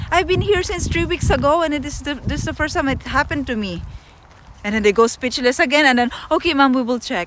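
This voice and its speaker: A woman with a Filipino accent talks loudly at a very fast pace in a high pitch. Noticeable background noise can be heard. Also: lively intonation. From Philippines. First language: Tagalog. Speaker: travel livestreamer. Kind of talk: casual storytelling on livestream. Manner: animated.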